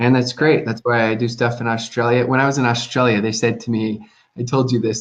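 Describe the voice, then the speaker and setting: A man with an American accent speaks at a fairly quick pace in a plain, everyday voice, his pitch sitting in the middle range. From US. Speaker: network marketing consultant. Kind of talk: casual chat. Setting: live stream.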